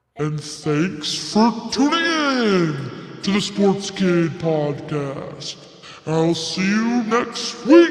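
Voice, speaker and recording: Someone speaks very slowly in a put-on character voice, with slight echo. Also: man, high pitch for a man. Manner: monstrous.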